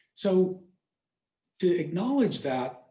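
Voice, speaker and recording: A man speaks at a very slow pace with ordinary pitch variation. His tone is dark and mellow, and somewhat breathy. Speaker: pastor giving a talk to a church class. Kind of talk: personal presentation in a class.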